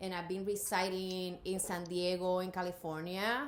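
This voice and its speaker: The recording carries audible room echo. A woman speaks in a slight Puerto Rican accent. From Puerto Rico. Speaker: artist and college professor. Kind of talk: interview.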